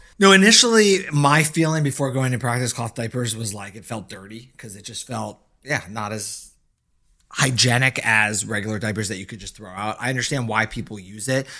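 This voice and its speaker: Here a man talks at a medium pitch and a fairly quick pace. His tone is bright and sharp, and his loudness swings widely. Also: ordinary pitch variation, very clean recording, silent background. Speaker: pediatrician. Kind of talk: casual chat.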